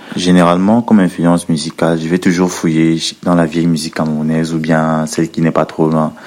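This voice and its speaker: A man speaks with a very deep, low pitch and a monotone, flat intonation. Noticeable background noise runs underneath. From Cameroon, Edea. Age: 20s. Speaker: rapper. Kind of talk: recorded interview answers.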